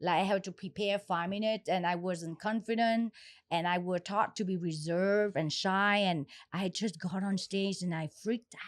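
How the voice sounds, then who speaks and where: Speaking at medium pitch and a moderate pace, a woman keeps her intonation fairly even. The recording is very clean and dry, close with no echo, over a silent background. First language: not English. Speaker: podcast host and comedian. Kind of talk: casual chat.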